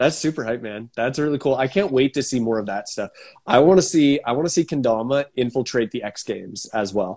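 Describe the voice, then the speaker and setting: Here is a man with an ordinary speaking voice at a medium pitch. He talks at a fairly quick pace with lively intonation. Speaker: podcast host. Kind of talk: casual chat. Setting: video call.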